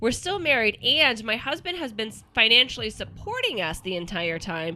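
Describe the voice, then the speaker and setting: In a slight Kansas accent, a woman with a fairly high, bright, sharp voice speaks at a moderate pace with very wide pitch swings. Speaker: podcast host. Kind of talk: reading aloud. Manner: halting, self-correcting.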